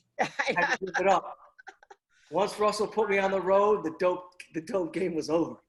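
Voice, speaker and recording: Using an American accent, a man speaks at a moderate pace in a high voice with ordinary pitch variation. He takes long, frequent pauses. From US Midwest, Detroit area. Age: 60s. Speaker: comedian. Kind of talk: storytelling on a comedy podcast. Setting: video call. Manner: rambling with self-corrections.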